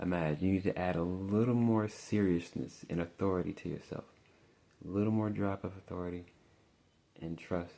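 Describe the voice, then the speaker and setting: This man is soft-spoken and relaxed, with a very deep, low pitch and a dark, mellow tone. His intonation is fairly even and his pace fairly quick, broken by long, frequent pauses. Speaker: tarot reader. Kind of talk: tarot reading monologue. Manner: casual, relaxed.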